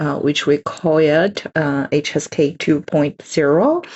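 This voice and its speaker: A woman speaks with a Chinese accent in a very deep, low pitch. Her pace is very slow. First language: Mandarin Chinese. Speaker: Chinese language teacher. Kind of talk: lecture. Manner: halting, many fillers.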